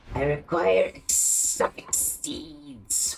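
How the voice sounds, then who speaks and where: A put-on character voice at a low-to-middle pitch. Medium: machinima. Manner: formal, stiff.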